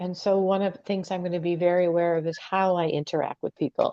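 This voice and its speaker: A woman speaks at a moderate pace with a medium pitch. The sound is dry and close, with no echo. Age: 60s. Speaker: astrologer. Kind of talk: casual chat. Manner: halting.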